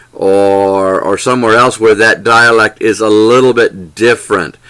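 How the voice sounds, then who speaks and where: With an American accent, a man talks in a bright, sharp tone. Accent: Southern accent, toned down in sessions. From US South, Lower Alabama. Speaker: English teaching trainer. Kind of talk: lecture. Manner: deliberate, clear enunciation; hesitant, with repeated words and fillers.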